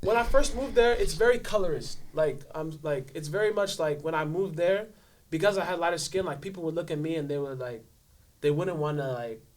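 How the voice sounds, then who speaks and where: A man with an American accent, fairly high-pitched and fairly quick, with lively intonation. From Los Angeles, with teen years in Nigeria. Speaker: podcast guest. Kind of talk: casual interview chat.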